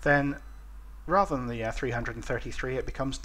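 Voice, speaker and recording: This man speaks at a fairly slow pace. He has a British accent. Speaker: flight simulation video creator. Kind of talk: tutorial. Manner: halting.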